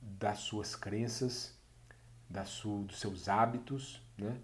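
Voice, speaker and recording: A man speaks with a Minas Gerais accent, his fairly low voice somewhat breathy. His intonation is fairly even, and audible room echo is present. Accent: mineiro. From Brazil, Minas Gerais. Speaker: course instructor. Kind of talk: online course introduction. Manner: hesitant, many fillers.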